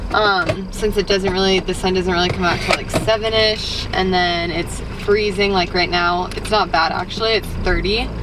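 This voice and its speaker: Moderate pace and an American accent, against noticeable background noise. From Denver, Colorado, US. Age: 20s. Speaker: lifestyle vlogger. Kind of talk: casual vlog talk to camera.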